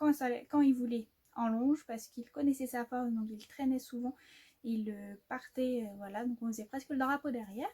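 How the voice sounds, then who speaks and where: High-pitched yet dark and mellow in tone, a woman speaks at a moderate pace with fairly even intonation. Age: 20s. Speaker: horse owner and rider. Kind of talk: casual talk to camera.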